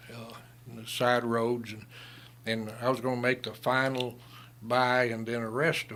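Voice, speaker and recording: A man with a strong Southern US accent at a medium pitch and moderate pace, in a flat monotone with big swings in loudness and long, frequent pauses. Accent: strong Southern American. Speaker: retired lawman and Vietnam veteran. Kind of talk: radio interview storytelling. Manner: halting, many fillers.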